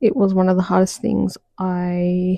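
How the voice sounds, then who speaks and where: A soft-spoken woman whispers at a fairly slow pace in a dry, close sound with no echo. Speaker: podcast host, social worker. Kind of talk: mindset podcast monologue. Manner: almost whispering, soft-spoken.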